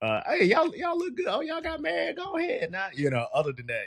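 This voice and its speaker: Someone talks at a fairly quick pace in a Southern US accent. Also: man. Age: 20s. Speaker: podcast host. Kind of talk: casual interview.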